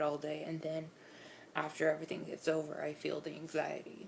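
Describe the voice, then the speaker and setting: Her voice very deep and low, a woman speaks at a moderate pace. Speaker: vlogger. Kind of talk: casual vlog monologue. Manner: halting, many fillers.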